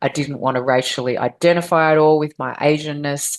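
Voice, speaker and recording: A woman with an Australian accent and a very deep, low pitch talks at a moderate pace with fairly even intonation over a quiet background. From Australia (Victoria). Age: 50s. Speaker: adoptee advocate, organization founder. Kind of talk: interview, personal story.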